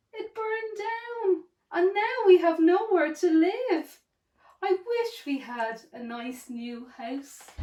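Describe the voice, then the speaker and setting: A put-on, squeaky character voice from a woman, extremely high in pitch, with very wide pitch swings and a very slow pace. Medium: read story.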